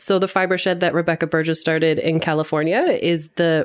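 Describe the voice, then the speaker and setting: Over noticeable background noise, a woman talks at a very fast pace with a Canadian accent. Her pitch is fairly low and her intonation fairly even. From London, Ontario. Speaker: founder of regional textile network. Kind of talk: casual interview conversation. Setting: quiet room at a conference.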